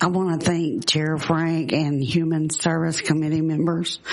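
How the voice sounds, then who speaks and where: Noticeable background noise sits behind a woman whose very deep, low voice moves very slowly in a monotone, flat intonation. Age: 60s. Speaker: nursing home resident testifying. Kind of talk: legislative testimony, partly read from a letter. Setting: legislative committee hearing. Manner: halting, with restarts.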